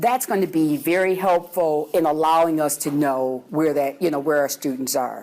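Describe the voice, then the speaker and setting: With hardly any pauses, a woman speaks in a very deep, low voice at very even loudness and ordinary pitch variation, over noticeable background noise. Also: moderate pace. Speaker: university administrator. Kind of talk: presentation.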